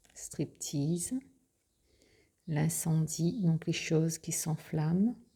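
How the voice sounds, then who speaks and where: The speaker is soft-spoken and talks at a very slow pace with long, frequent pauses. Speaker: tarot and oracle card presenter. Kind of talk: product presentation.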